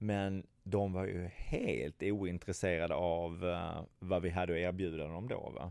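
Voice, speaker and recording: In a very clean recording with a silent background, a man with a very deep, low pitch and a Scanian accent speaks with fairly even intonation. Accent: Skåne dialect. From southern Sweden, Skåne. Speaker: travel industry entrepreneur. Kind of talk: interview. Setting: office meeting room. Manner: halting, many fillers and repetitions.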